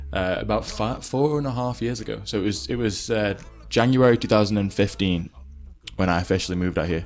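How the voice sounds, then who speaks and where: Over music in the background, the speaker uses a Potteries accent at a very fast pace with ordinary pitch variation. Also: man, fairly low pitch for a man. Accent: English Midlands (Potteries). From England, Stoke-on-Trent. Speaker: pop singer-songwriter. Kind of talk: interview.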